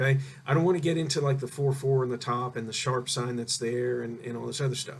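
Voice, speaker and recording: Fairly quick speech from a man, set against noticeable background noise. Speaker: guitar teacher. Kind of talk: online group lesson. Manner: fast.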